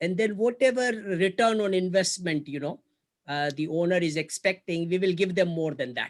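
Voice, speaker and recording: This man has a high-pitched voice. He speaks at a moderate pace with ordinary pitch variation. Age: 60s. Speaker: investor. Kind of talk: business negotiation.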